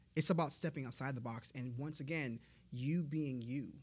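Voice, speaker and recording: A man at medium pitch, moderate pace, and ordinary pitch variation. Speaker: motivational speaker. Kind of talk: casual interview chat. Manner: enthusiastic.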